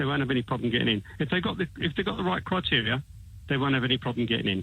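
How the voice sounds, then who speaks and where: A man's medium-pitched voice with an English accent, vocal fry, lively intonation, very even loudness, and a very fast pace. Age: 60s. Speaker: caller. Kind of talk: phone-in radio call. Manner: halting, many repetitions.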